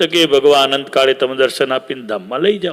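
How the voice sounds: A man talks at a fast pace. His pitch varies in an ordinary way. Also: medium pitch for a man, fairly bright tone.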